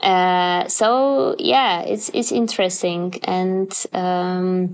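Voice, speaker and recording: A woman of medium pitch speaks with ordinary pitch variation. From Poland. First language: Polish. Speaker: pianist and composer. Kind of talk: interview. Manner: halting, many fillers.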